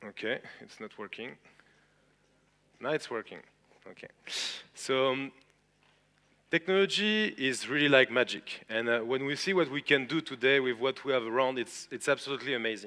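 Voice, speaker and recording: A man with a strong French accent speaks at a moderate pace and medium pitch, with ordinary pitch variation and a bright, sharp tone. His loudness swings widely, and he leaves long, frequent pauses. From France. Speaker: tech entrepreneur and conference speaker. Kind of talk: conference talk. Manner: hesitant, many filler sounds.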